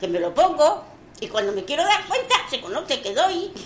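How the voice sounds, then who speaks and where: A woman at a moderate pace, with very wide pitch swings, over noticeable background noise. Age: 80s+. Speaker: elderly resident interviewed. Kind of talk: recorded testimony.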